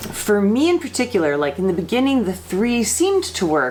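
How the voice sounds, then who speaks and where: A woman speaks at a moderate pace. Noticeable background noise sits behind her. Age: 40s. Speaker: vlogger with Parkinson's disease. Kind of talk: casual vlog talk to camera. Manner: hesitant, many fillers and repetitions.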